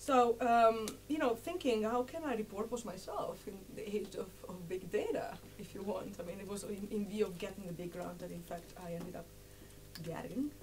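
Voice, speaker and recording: Her medium-pitched voice moves at a moderate pace with lively intonation and big swings in loudness. Noticeable background noise surrounds this woman's speech. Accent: Italian. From Italy. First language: Italian. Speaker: political sociologist. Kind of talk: lecture. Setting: seated, lecture room with audience. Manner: halting, many fillers.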